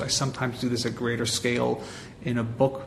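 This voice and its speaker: Fairly quick speech from a man with a Montreal accent, over noticeable background noise. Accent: Montreal English Canadian. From Canada, Montreal. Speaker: marketing agency president and author. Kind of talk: interview.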